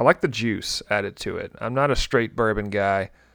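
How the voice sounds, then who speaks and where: On a very clean recording with a silent background, a man with a Southern US accent speaks at a fairly low pitch and a moderate pace. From Tennessee. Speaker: podcast host. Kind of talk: casual chat.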